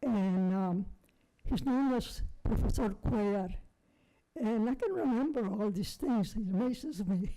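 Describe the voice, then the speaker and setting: A woman talks at a moderate pace with a dark, mellow tone. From South Texas. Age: 80s+. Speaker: painter. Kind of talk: life story talk. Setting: presentation with audience. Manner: halting.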